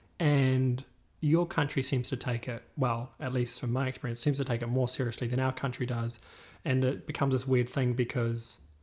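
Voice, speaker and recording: A man with a New Zealand accent speaks in a somewhat breathy voice at medium pitch on a very clean recording with a silent background. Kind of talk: casual chat.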